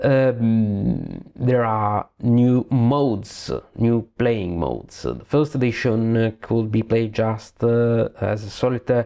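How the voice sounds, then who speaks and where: A very slow delivery with hardly any pauses, fairly even intonation and a dark, mellow tone, in an Italian accent over a quiet background. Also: man, medium pitch for a man. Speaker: board game reviewer. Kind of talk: game review. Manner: halting.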